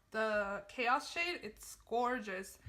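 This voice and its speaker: The voice is raised and projected, with ordinary pitch variation. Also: woman. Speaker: beauty vlogger. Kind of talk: tutorial.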